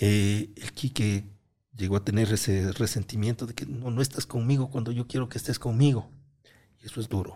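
A man speaks with a dark, mellow tone and a somewhat breathy quality at medium pitch. His pace is moderate, and his pitch varies in an ordinary way. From Ecuador, Cotopaxi (Latacunga). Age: 50s. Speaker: electrical engineer and content creator. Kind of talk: casual interview chat.

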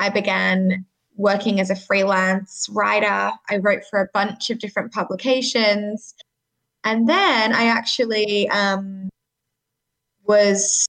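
This woman has an Australian accent and a medium pitch. She speaks at a fairly slow pace. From Sydney, Australia. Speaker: communications manager at a nonprofit. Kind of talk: interview.

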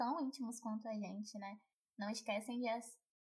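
This woman has a fairly high, somewhat breathy voice with fairly even intonation. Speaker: podcast host. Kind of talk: casual interview.

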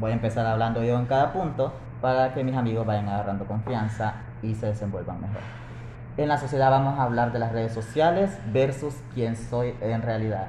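A man with a medium pitch talks at a fairly quick pace. Room echo is audible, and there is noticeable background noise. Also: ordinary pitch variation. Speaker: podcast host. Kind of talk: casual chat. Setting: café.

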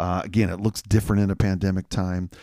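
A plain, everyday voice from a man, fairly low in pitch and fairly quick, with fairly even intonation, in a very clean recording with a silent background. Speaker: pastor. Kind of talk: casual chat.

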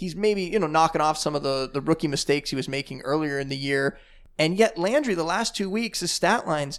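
This man has a plain, everyday voice, fairly high in pitch, with ordinary pitch variation. The recording is very clean with a silent background. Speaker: fantasy football podcast host. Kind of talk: podcast discussion, casual sports analysis.

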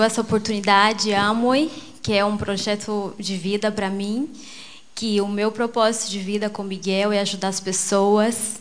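Fairly slow, monotone delivery from a woman with a fairly high pitch and flat intonation. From Brazil, Mato Grosso (Rondonópolis). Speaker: businesswoman, network marketing. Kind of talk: motivational speech.

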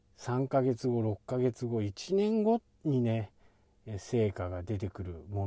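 Over a silent background in a very clean recording, a man with a medium-pitched, dark, mellow voice speaks with lively intonation. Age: 50s. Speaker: blogger / SEO advisor. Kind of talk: casual vlog monologue. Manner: halting, with many fillers.

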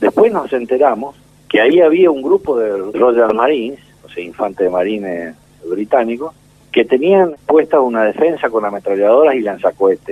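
Using a plain, everyday voice, a man speaks at a moderate pace in a medium pitch. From Argentina. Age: 60s. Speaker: war veteran. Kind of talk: testimony. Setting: phone call.

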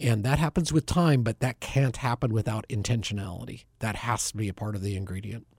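A man with an American accent talks at a fairly quick pace, barely pausing, in a medium pitch with ordinary pitch variation and a somewhat breathy quality. The very clean recording has a silent background and a dry, close sound with no echo. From Bend, Oregon, US Pacific Northwest. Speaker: ministry area director, former broadcaster. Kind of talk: radio interview, conversational. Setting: studio.

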